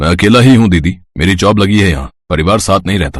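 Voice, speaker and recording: In a very clean recording with a silent background, a man puts on a character voice, very deep and low in pitch, at a fairly quick pace. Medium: read story. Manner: polite, warm.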